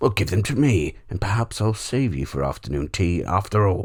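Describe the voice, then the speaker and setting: On a very clean recording with a silent background, a man does a raspy put-on character voice at a fairly low pitch and moderate pace. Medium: read story. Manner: self-absorbed, whiny, offhand about eating people.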